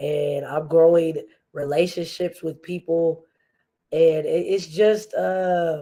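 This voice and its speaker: Her tone is dark and mellow, her pitch fairly low. The woman speaks at a very slow pace with fairly even intonation. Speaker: podcast host. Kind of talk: casual livestream chat. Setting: livestream.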